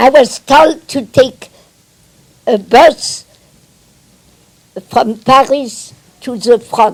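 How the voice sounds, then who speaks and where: A woman speaks at a very slow pace with a French accent and a high pitch. Her long pauses come often. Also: ordinary pitch variation. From Metz, France. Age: 80s+. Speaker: Holocaust survivor and former spy. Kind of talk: public talk to an audience.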